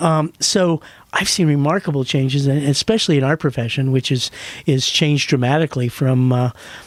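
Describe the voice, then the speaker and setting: A man with an American accent speaks at a fairly quick pace with ordinary pitch variation and very even loudness. The sound is dry and close, with no echo. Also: fairly high pitch for a man. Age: 60s. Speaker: veterinarian. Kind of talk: casual interview. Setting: studio. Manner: halting.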